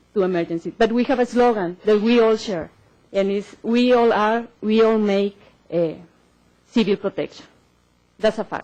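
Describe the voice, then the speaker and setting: With a strong Mexican accent, a woman speaks at a moderate pace in a fairly high, dark, mellow voice, her intonation fairly even and her pauses long and frequent. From Mexico. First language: Spanish. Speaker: government civil protection official. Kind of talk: conference presentation. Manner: hesitant, many fillers.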